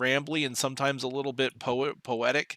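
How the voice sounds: What comes through is a natural reading voice.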